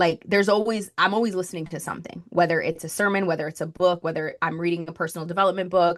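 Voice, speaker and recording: A woman with a slight Spanish accent and fairly even intonation over a quiet background. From Colombia (Bogotá). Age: 20s. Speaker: marketing strategist. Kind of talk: podcast interview.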